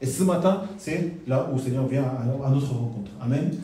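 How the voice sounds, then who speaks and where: A man talks with lively intonation. Audible room echo and noticeable background noise come through. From South Korea. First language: Korean (speaking French). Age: 40s. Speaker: pastor. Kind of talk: sermon. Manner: halting.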